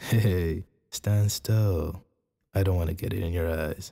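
A man's very deep, low voice comes across somewhat breathy. The tone is dark and mellow, with fairly even intonation. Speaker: ASMR roleplay performer. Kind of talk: ASMR boyfriend roleplay. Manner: soft-spoken, caring.

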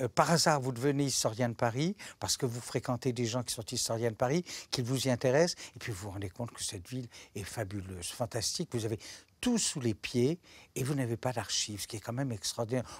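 Fairly quick, somewhat breathy speech with ordinary pitch variation and a dry sound free of echo. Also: man, medium pitch for a man. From Monaco, French Riviera. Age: 60s. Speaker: retired archivist and historian. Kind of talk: interview monologue. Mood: calm, reflective, warm. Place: studio. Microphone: lapel.

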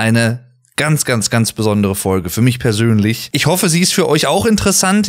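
A man is speaking. His pitch swings very widely. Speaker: podcast host. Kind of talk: podcast intro talk.

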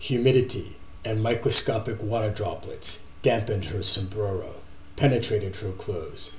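A text is read out in a natural voice whose pitch varies in an ordinary way.

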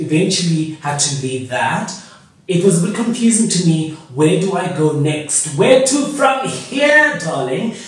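A man talks at a fairly slow pace in a room with strong echo. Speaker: YouTuber. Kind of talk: casual vlog chat. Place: home room. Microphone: camera far.

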